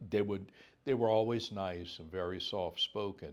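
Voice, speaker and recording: The pace is fairly slow as a man speaks. His pitch variation is ordinary. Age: 60s. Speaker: judge. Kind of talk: oral history interview. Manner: hesitant, with fillers and restarts.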